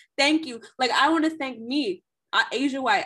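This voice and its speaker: A woman's bright, sharp, animated voice at a moderate pace. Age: 20s. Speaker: podcast co-host. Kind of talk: casual chat.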